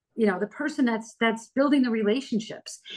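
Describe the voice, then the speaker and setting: A woman's voice, somewhat breathy and fairly high, moves at a fairly quick pace with ordinary variation in pitch. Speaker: PR and LinkedIn marketing expert. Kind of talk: podcast interview. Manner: fast; animated.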